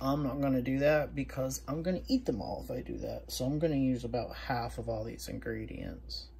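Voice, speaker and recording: At a fairly quick pace, a woman talks with an American accent. Audible room echo surrounds her voice. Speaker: food reviewer, diet coach. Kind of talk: casual cooking review vlog. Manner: casual, chatty.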